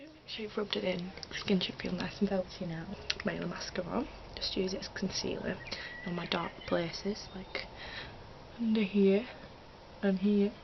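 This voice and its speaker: A quiet woman's voice in a British accent, medium in pitch with ordinary pitch variation, at a moderate pace with long, frequent pauses, over noticeable background noise. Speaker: beauty vlogger. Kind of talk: tutorial. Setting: at home. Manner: quiet, low volume; hesitant, many fillers.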